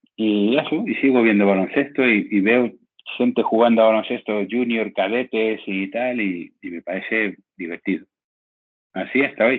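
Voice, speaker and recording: Pitch rises and falls in an ordinary way. The pace stays moderate. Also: man, medium pitch for a man. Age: 60s. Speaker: sports journalist. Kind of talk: interview. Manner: halting, with frequent repetitions.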